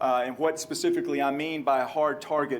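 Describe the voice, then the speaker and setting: Through noticeable background noise and audible room echo, a man talks with a slight Texan accent. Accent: slight Texan drawl. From Texas. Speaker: police trainer. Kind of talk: lecture.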